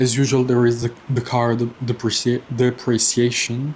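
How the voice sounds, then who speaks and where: The man's voice sounds somewhat breathy. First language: not English. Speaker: personal finance vlogger. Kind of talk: casual monthly finance update vlog. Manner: halting, many fillers and repetitions.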